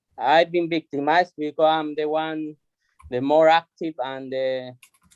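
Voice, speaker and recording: A man with a non-native accent and a fairly high pitch speaks at a fairly slow pace. His intonation is fairly even, and the sound is dry and close with no echo. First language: not English. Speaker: cleaner union rep. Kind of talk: rally speech. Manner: halting.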